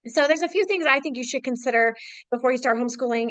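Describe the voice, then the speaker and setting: At a very fast pace, a woman speaks in a high voice with ordinary pitch variation. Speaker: homeschool speaker. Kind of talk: webinar presentation. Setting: online webinar.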